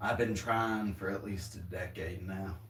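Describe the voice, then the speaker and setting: A man with a Southern US accent speaks at a fairly slow pace. His voice is fairly low and somewhat breathy. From US South. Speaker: drummer streamer. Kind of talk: casual livestream chat. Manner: rambling, casual.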